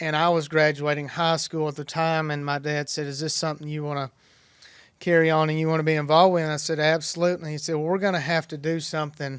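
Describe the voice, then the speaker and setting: Speaking at a very fast pace, a man with a Tennessee accent keeps a monotone, flat intonation at a fairly high pitch. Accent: Southern US (Tennessee). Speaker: dairy farmer. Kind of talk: podcast interview answer.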